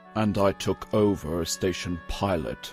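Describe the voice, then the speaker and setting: Clear music plays in the background. Over it, a man speaks in a put-on character voice. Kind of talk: audio drama dialogue. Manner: cold, sardonic.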